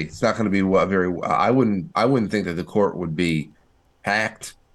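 Against a quiet background, a man with a plain, everyday voice talks at a fairly quick pace. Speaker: podcast co-host. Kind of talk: political commentary chat.

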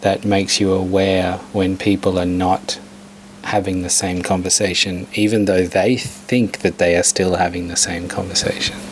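Noticeable background noise accompanies a man with a fairly low pitch speaking at a fairly slow pace. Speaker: radio host. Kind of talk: interview. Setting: studio.

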